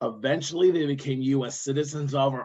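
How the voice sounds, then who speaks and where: A man with an Iowa accent. He speaks at a moderate pace. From Iowa, US Midwest. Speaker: workshop trainer. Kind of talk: online training workshop.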